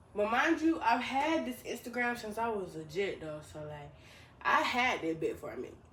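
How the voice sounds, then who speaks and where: A woman talks at a fairly high pitch with very wide pitch swings and big swings in loudness. Noticeable background noise and audible room echo surround her voice. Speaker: vlogger. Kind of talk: casual vlog monologue. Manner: fast; mumbling.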